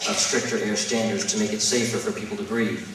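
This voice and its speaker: A man's medium-pitched voice at a very fast pace with fairly even intonation, noticeable background noise and audible room echo. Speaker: nonprofit executive at public hearing. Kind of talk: public hearing testimony. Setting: public hearing.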